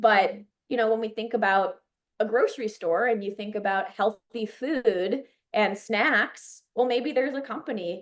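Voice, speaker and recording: A woman talks at a fairly high pitch. Her pace is moderate, with ordinary pitch variation. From Chicago, US Midwest. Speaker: children's media entrepreneur, former teacher. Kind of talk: podcast interview. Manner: animated.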